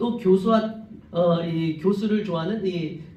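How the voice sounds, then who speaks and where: Audible room echo surrounds a man as he speaks. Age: 50s. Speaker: pastor. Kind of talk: sermon. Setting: church. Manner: fast.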